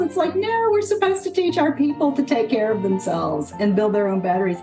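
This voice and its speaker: A woman talks with lively intonation while music plays behind her. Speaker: podcast host, well-being strategist. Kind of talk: podcast host interview talk.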